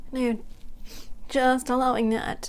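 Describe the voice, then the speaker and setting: Very slow in pace, a woman speaks with monotone, flat intonation. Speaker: meditation guide. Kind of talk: guided relaxation. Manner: slow, soft-spoken.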